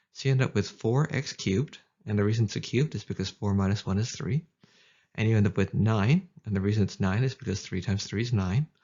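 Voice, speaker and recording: The speech runs fairly quickly in a somewhat breathy voice, its pitch varying in an ordinary way. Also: man. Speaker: math tutor. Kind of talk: educational tutorial narration. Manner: casual, upbeat.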